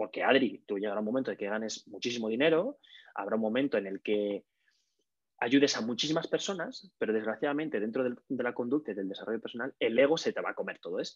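A man speaks at a very fast pace with medium pitch and ordinary pitch variation, in a dry, close sound with no echo. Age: 30s. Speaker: communication coach and comedian. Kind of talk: casual interview. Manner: energetic.

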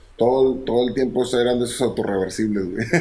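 This man has a dark, mellow tone at a medium pitch, and his intonation stays fairly even. He talks at a moderate pace, with audible room echo. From Monterrey, northeastern Mexico. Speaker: musician. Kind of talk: casual chat.

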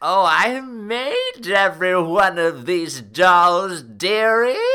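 Speaking very slowly in a put-on character voice, a man uses a high pitch over light background noise.

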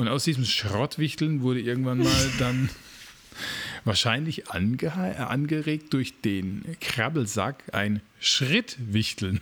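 This man talks at a very slow pace, his loudness very even throughout. His pitch sits in the medium range, and his intonation is lively. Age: 40s. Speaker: podcast co-host. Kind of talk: casual chat.

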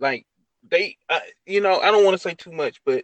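With an American accent, a man speaks at a high pitch, and the sound is dry and close with no echo. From Mississippi, US South. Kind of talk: casual discussion.

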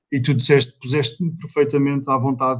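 This man's voice sits at a fairly high pitch. It has a somewhat breathy quality. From Portugal, Vila Real (Trás-os-Montes). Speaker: family winery owner and IT manager. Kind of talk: casual interview.

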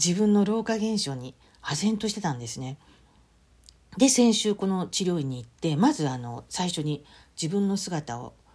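A woman's dark, mellow voice at medium pitch, with very wide pitch swings, big swings in loudness, and a moderate pace. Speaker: podcast host. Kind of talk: solo diary-style podcast monologue.

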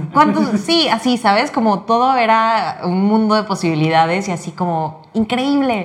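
Using a plain, everyday voice, a woman speaks fairly slowly at medium pitch with lively intonation. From Mexico, Cancún. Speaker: youth fiction editor. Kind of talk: casual chat. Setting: office.

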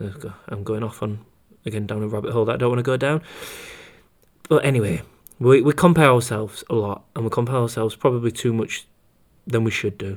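With a British accent, a man of medium pitch talks at a very fast pace, breaking it up with long, frequent pauses, his pitch varying in an ordinary way. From UK. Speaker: running coach and podcast host. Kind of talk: solo podcast monologue.

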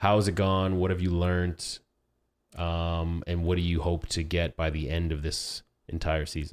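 In a very clean recording with a silent background, a man speaks in a very deep, low pitch and a monotone, flat intonation. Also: moderate pace. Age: 30s. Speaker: podcast host. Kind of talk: casual chat.

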